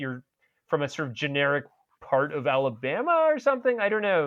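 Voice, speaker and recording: The background is quiet. A man talks with lively intonation. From Texas. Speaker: cartoonist and author. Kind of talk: casual chat. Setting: podcast. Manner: halting, many repetitions.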